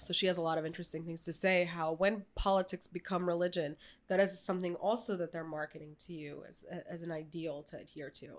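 She speaks very fast with a Russian accent, her pitch fairly low for a woman. Her intonation stays fairly even while her volume rises and falls sharply. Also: hardly any pauses. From New York City, emigrated as child from former Soviet nation. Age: 20s. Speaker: painter. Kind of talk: casual chat. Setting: studio.

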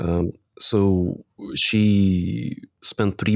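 The sound is dry and close with no echo as a man speaks with an Eastern European accent. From Latvia. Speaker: company CEO. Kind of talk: casual interview conversation. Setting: video call.

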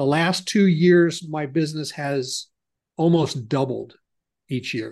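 Against a quiet background, a man with an American accent speaks very slowly in a fairly high voice. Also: ordinary pitch variation. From US Midwest, Ohio. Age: 60s. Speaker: business consultant. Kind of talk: interview, conversational.

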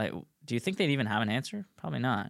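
On a very clean recording with a silent background and a dry, close sound free of echo, a man with an American accent speaks with lively intonation. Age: 20s. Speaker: motorcycle dealer and podcaster. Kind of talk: casual conversation podcast. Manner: halting, takes many pauses.

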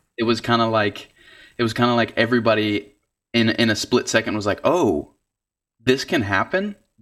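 A man with an American accent at a medium pitch, with ordinary pitch variation and a moderate pace, with long, frequent pauses. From Georgia (US South). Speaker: singer-songwriter. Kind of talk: casual interview. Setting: video call.

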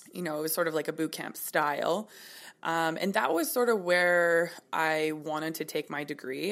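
A woman's very deep, low voice with vocal fry and a western Canadian accent, at a fairly quick pace, on a very clean recording with a silent background. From Kelowna, British Columbia, Canada. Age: 20s. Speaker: personal trainer and yoga instructor. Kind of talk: interview.

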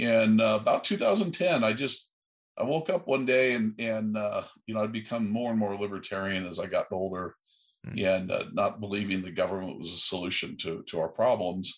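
A man with an American accent has a plain, everyday voice, fairly low in pitch, and speaks at a moderate pace with lively intonation. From USA. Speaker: aerospace entrepreneur. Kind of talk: interview.

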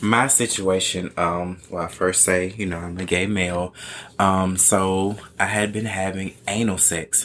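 A man's very deep, low voice at a fairly slow pace, in a flat monotone. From US South. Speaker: podcast guest. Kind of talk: casual chat.

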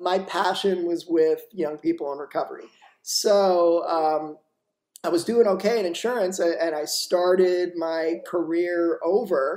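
A man with a high voice speaks at a fairly slow pace. His intonation stays fairly even. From Florida (Boca Raton). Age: 30s. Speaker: addiction treatment program founder. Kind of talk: interview.

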